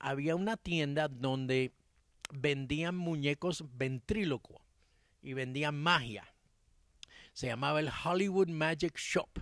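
Dry with no echo, a man's voice moves at a very slow pace with long, frequent pauses and ordinary pitch variation. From Cuba-born, raised in Miami. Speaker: music producer and songwriter; interviewee. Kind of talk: interview. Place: garden. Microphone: handheld.

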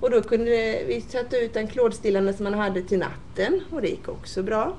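A woman at a fairly high pitch, with an ordinary speaking voice, lively intonation and a moderate pace. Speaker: nurse. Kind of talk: interview.

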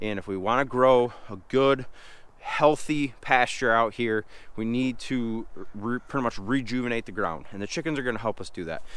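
Pitch shifts ordinarily while the delivery holds a moderate pace. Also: man, medium pitch for a man. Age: 30s. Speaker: homestead farmer and vlogger. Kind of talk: casual vlog. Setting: on the farm. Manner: animated.

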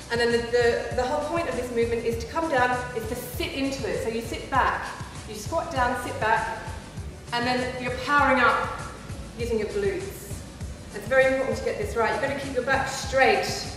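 Over clear music in the background and strong room echo, the speaker talks at a fairly quick pace with ordinary pitch variation. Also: woman, high pitch for a woman. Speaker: presenter. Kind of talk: tutorial. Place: gym.

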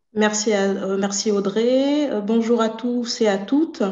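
Amid audible room echo, a woman with a fairly high pitch speaks at a very slow pace with fairly even intonation. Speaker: association board member. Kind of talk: introductory remarks. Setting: video call. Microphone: video call.

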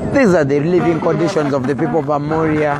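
Clear music plays behind a man whose voice sounds dry, with no echo. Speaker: campaign video reporter. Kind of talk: commentary. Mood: critical, persuasive. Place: car. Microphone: phone near.

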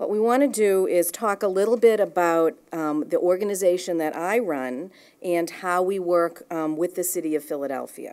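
A woman's fairly low voice at a moderate pace, with hardly any pauses and ordinary pitch variation. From Boston. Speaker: watershed nonprofit director. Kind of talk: conference presentation. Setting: live event with audience. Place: meeting room. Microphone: podium.

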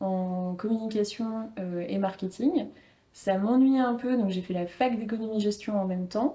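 A woman speaks at a fairly slow pace, somewhat breathy, in a dark, mellow tone. Her pitch varies in an ordinary way. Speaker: personal branding coach and former model; personal branding coach. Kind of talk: casual interview. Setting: studio with camera. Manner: calm, composed. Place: home room. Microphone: lapel.

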